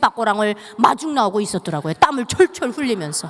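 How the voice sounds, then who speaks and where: Talking at a fairly quick pace, a woman with a North Korean accent makes very wide pitch swings. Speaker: North Korean defector speaker. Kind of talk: testimony. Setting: church.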